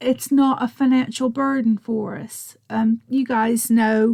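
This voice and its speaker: In an American accent, a woman with a high-pitched voice and a dark, mellow tone speaks very slowly and flatly in a monotone, the sound dry and close with no echo. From United States. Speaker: crafting channel host. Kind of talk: casual chat to viewers.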